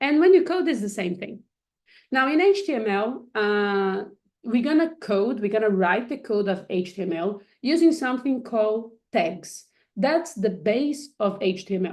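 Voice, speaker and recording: Against a quiet background, a woman with a Portuguese accent talks at a moderate pace in a fairly high pitch, her voice swinging very widely in pitch. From Brazil. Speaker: coding instructor. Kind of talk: online workshop tutorial. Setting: live video stream with screen share. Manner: hesitant, many fillers and restarts.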